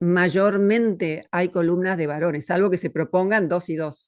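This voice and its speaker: A woman with a fairly low pitch speaks in a normal speaking voice, with ordinary pitch variation. Her pace is fairly slow, and the background is quiet. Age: 60s. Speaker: philosopher. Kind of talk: interview conversation.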